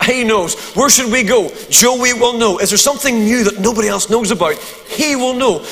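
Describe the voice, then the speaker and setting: The speaker has a Northern Irish accent and talks at a moderate pace with hardly any pauses. Pitch varies in an ordinary way, and background noise is noticeable. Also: man, extremely high pitch for a man. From Northern Ireland. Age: 50s. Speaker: preacher. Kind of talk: sermon. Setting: church. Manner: humorous.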